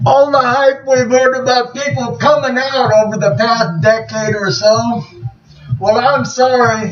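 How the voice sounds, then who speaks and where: Music plays behind a man with an American accent who speaks very slowly at an extremely high pitch. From United States. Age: 60s. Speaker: war veteran and activist. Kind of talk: video monologue.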